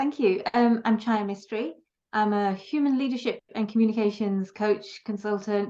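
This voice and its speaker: A woman with a British accent speaks at a moderate pace in a fairly high pitch, her dark, mellow tone carrying fairly even intonation. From Britain. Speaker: leadership and communications coach. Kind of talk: interview. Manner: many filler words (um, uh).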